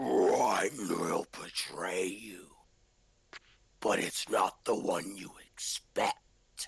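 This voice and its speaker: A man uses a put-on character voice, raspy and growling at a fairly low pitch. He speaks at a very slow pace. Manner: reluctant, ominous.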